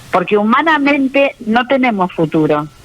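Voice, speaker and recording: Noticeable background noise sits under a woman's voice. She speaks at a moderate pace with a fairly high pitch. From Argentina, born in Austria. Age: 70s. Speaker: author giving faith testimony. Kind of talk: radio interview testimony.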